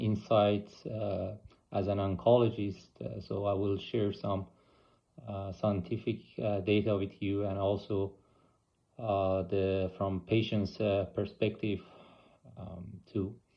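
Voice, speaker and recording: A man with an Iranian accent speaks at a very slow pace in a monotone, flat intonation, with long, frequent pauses. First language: Persian. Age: 40s. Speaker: oncologist and cancer patient. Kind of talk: personal video blog. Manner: halting, many fillers.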